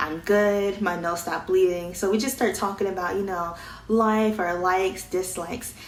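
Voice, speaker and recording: Fairly even intonation at a moderate pace comes through noticeable background noise and audible room echo. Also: woman. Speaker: vlogger. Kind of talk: casual storytelling.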